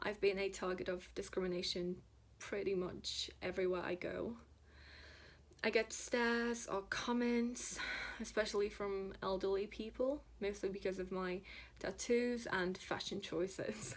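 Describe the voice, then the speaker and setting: A woman speaks with a Polish accent. Her pace is fairly slow and her intonation fairly even. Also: medium pitch for a woman. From Poland, Szczecin. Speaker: tattoo artist and illustrator. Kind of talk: prepared personal statement.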